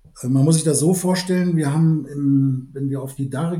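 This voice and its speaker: A somewhat breathy male voice, fairly high in pitch, with a dark, mellow tone and fairly even intonation. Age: 60s. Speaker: malting company executive and brewer. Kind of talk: expert interview.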